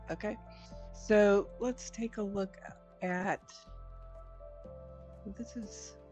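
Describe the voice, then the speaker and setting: With music in the background, a woman speaks at a very slow pace, leaving long, frequent pauses. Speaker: streamer. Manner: quiet, low-volume talker.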